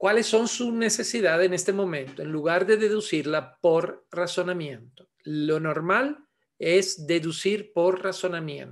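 Speaking at a fairly slow pace with an Italian accent, this voice has ordinary pitch variation and hardly any pauses over a quiet background. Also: man, high pitch for a man. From Italy (Milan); Italy. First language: Italian (speaking Spanish). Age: 60s. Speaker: osteopath and manual therapy teacher; manual therapy teacher. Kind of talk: webinar lecture. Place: home room. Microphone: webcam.

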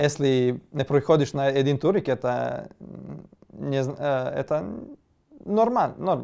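The speaker has a Serbian accent and a dark, mellow tone. The pace is very slow over a quiet background. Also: man. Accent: Serbian accent in Russian. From Serbia (Kosovo, Gračanica). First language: Serbian (speaking Russian). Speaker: esports player. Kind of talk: interview. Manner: halting. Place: home room. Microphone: lapel.

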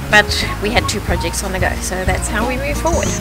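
A woman talks at a very fast pace over clear music in the background, the sound dry with no echo. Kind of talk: interview answer. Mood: reflective, lightly humorous. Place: open country.

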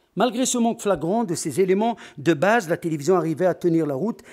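Against a quiet background, a man talks at a fairly quick pace with a high pitch. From Algeria. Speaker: conference speaker on sports media; conference speaker. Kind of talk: conference talk. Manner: formal. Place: hall. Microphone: podium.

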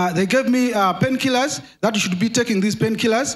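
Lively intonation marks this clip. The speaker is a man. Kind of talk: testimony. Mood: earnest, recounting illness. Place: church. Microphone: handheld.

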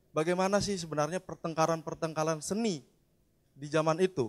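This man's pitch runs fairly high. He talks very fast. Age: young. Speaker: audience member. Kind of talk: audience question.

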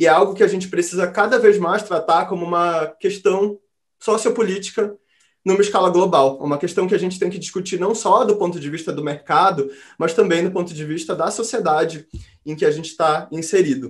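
Here a man talks at a fairly quick pace in a high pitch. His pitch variation is ordinary. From Brazil, Belém do Pará. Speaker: futures researcher and lab founder. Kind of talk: online talk presentation.

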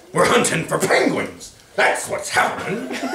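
A man puts on a gruff, growling character voice, with a slight echo around it. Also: moderate pace. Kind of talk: reading a children's story aloud. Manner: growling, gruff.

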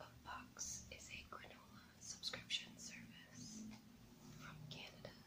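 A woman whispers her words at a very slow pace. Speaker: ASMR creator. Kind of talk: ASMR unboxing. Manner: whispered. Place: home room.

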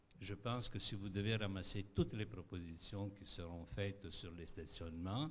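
Somewhat breathy and very deep in pitch, a man speaks at a moderate pace with ordinary pitch variation over light background noise. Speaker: resident. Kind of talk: public consultation statement. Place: hall. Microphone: podium.

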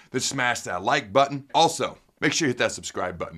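The man talks at a very fast pace. His intonation is lively. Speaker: sports show host. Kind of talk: energetic sports commentary. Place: studio.

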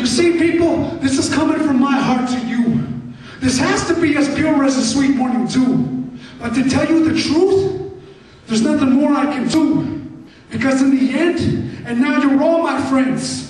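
This man talks at a moderate pace in an extremely high pitch, with ordinary pitch variation. His loudness stays very even, and the room echoes strongly. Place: hall. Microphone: camera far.

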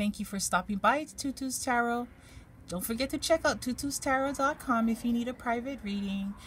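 The pace is moderate, with ordinary pitch variation. Light background noise sits behind the voice. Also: woman. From Hawaii. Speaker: tarot card reader; tarot reader. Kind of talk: tarot reading for viewers; card reading commentary. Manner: relaxed, hesitant with fillers. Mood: calm, gentle, encouraging. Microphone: phone near.

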